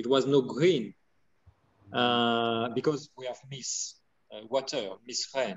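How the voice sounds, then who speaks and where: A man with a French accent speaks very slowly at medium pitch, with long, frequent pauses. His intonation is fairly even, while his loudness swings widely. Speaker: winemaker. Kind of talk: interview. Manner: halting.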